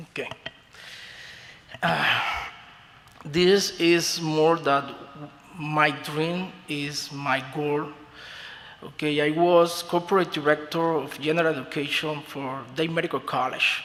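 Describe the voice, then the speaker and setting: A man with a Spanish accent talks at a fairly high pitch in a monotone, flat intonation. His pace is very slow, with long, frequent pauses and noticeable background noise. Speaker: beauty school owner. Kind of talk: formal testimony before a commission. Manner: halting, with many fillers.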